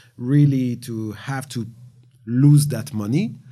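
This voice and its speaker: A man speaks with a French accent. His tone is dark and mellow, with ordinary pitch variation. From France. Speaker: gaming industry veteran. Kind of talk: panel discussion.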